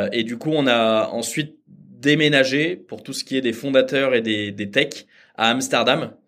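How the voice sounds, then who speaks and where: Speaking at a fairly slow pace, a man has an unremarkable speaking voice and fairly even intonation. The recording is very clean with a silent background. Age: 30s. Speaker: startup founder. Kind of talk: interview.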